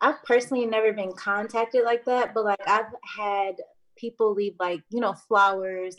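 A woman's normal speaking voice with an American accent, medium in pitch, at a moderate pace with fairly even intonation. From Battle Creek, Michigan. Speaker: lash business owner. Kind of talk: casual chat.

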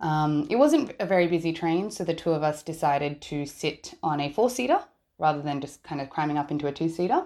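A woman's very deep, low voice with a dark, mellow tone and an Australian accent, fairly quick in pace, ordinary in pitch variation, on a very clean recording against a silent background. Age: 20s. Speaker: listener sharing a story. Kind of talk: testimony. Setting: voice recording.

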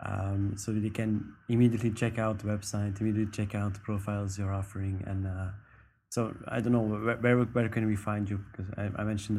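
A man speaks at a fairly low pitch in a dark, mellow tone. His delivery is somewhat breathy and monotone, with flat intonation. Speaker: podcast co-host interviewer. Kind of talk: interview, casual chat.

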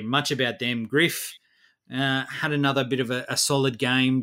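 On a very clean recording with a silent background, a man with an Australian accent and medium pitch speaks at a fairly slow pace. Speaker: fantasy basketball podcast co-host. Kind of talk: casual chat.

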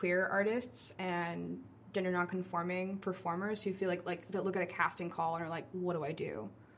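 A woman with a normal speaking voice, fairly low in pitch, with ordinary pitch variation, a moderate pace, and an American accent. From New Orleans, US. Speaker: actor and theater artist. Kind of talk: casual interview.

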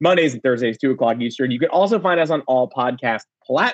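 In a quiet background, the speaker reads aloud in a natural voice.

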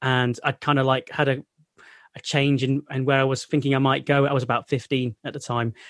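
A man's medium-pitched, monotone, flat voice in a Mancunian accent at a fairly quick pace, dry and close with no echo. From North Manchester, England. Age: 30s. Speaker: sports journalist, former science teacher. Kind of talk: interview.

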